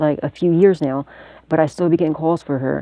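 In a dry recording with no echo, a woman speaks with a very deep, low pitch. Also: quiet background. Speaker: psychic tarot reader and video channel host. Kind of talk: tarot reading monologue to camera. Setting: self-recorded video at home. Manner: casual, profane and laughing often. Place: home room. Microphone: phone near.

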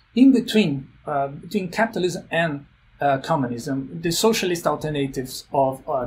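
A somewhat breathy man at a moderate pace, with light background noise. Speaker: remote guest. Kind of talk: interview answer. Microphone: phone near.

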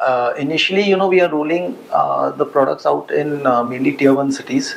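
The speaker moves at a fairly quick pace with fairly even intonation. Light background noise is present. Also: man. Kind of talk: interview answer. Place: meeting room. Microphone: lapel.

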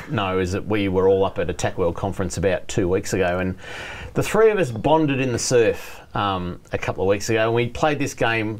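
At a fairly quick speed, the man talks with ordinary pitch variation. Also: fairly low pitch for a man. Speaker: show host. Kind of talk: talk show banter. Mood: jovial, laughing. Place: studio. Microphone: lapel.

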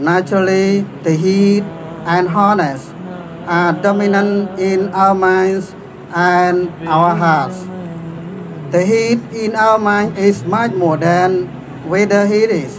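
The speaker goes at a very slow pace with long, frequent pauses and fairly even intonation. Loudness stays very even, and background noise is noticeable. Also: man, high pitch for a man. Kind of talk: sermon. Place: street. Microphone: podium.

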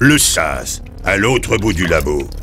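The man puts on a character voice as loud noise fills the background. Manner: sarcastic, weary, dry.

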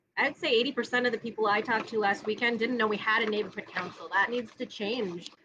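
With noticeable background noise behind her, a woman talks at a fairly quick pace with hardly any pauses, using a fairly high pitch and ordinary pitch variation. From Minnesota. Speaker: neighborhood council candidate; council candidate. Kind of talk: casual chat. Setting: outdoors, backyard live stream. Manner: loud. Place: garden. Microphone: webcam.

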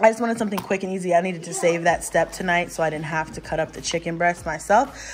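Over light background noise, a woman talks at a very fast pace with ordinary pitch variation. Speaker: mom vlogger. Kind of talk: casual vlog chat. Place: kitchen. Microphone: phone near.

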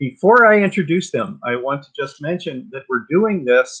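A man talks at a moderate pace with a bright, sharp tone against a quiet background. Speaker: host, tour guide. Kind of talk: event introduction. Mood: warm, enthusiastic. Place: home room. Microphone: video call.

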